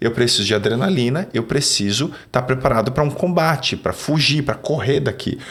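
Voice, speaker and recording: Over noticeable background noise, a man talks at medium pitch with very even loudness, ordinary pitch variation and hardly any pauses. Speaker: neuroscience and sales speaker. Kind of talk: podcast conversation. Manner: fast.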